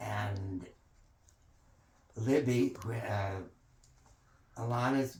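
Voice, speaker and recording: A man speaks at a very slow pace, with long, frequent pauses. His voice is somewhat breathy and his intonation fairly even. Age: 80s+. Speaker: family elder telling family history. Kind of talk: oral history interview. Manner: halting.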